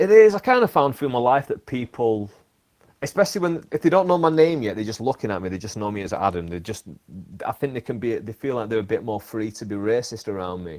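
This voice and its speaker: Talking at a very fast pace in a Lancashire accent, a man makes very wide pitch swings and big swings in loudness. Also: medium pitch for a man. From northern England, Bolton. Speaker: podcast host and stand-up comedian. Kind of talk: casual chat.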